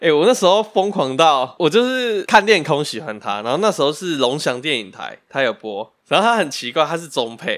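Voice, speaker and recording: In a very clean recording with a silent background, a man at a fairly high pitch talks with hardly any pauses, very wide pitch swings and big swings in loudness. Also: moderate pace. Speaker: podcast co-host. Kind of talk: casual chat.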